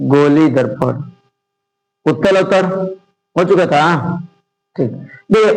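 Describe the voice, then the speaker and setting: Audible room echo surrounds a man who speaks at a high pitch and a moderate pace with ordinary pitch variation. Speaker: teacher. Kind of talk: lecture.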